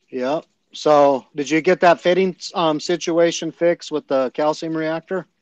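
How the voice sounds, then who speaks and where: Against a quiet background, a man with a fairly high voice talks at a fairly slow pace with fairly even intonation, the sound dry with no echo. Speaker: reef aquarium hobbyist. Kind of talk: casual chat. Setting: video call. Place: home room. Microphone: video call.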